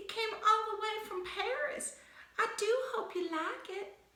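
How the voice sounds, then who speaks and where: A put-on character voice, female-sounding, squeaky and soft-spoken at an extremely high pitch. It moves at a moderate pace with a slight echo. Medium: read story. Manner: soft, meek.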